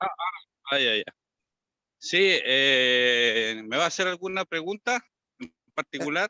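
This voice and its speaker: In a dry, close sound with no echo, a man speaks very slowly at a high pitch, his bright, sharp tone moving through very wide pitch swings. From Chile, Antofagasta. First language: Spanish (speaking Indonesian). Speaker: silat teacher. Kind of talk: online discussion. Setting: video call.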